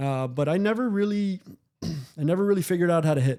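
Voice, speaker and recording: Here a man talks with a Spanish accent. His tone is dark and mellow. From Miami, Cuban-American family. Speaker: former baseball executive and scout. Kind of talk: podcast interview. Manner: casual, with frequent fillers and restarts.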